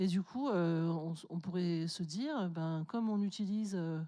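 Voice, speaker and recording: A woman talks in a fairly low pitch with a dark, mellow tone and ordinary pitch variation. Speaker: conference keynote speaker. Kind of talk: conference talk. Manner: hesitant, many fillers.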